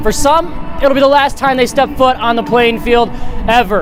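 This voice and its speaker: A man speaks at a fairly quick pace. Behind him, music plays. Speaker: sports anchor and reporter. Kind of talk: TV sports news anchoring and reporting. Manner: upbeat, playful.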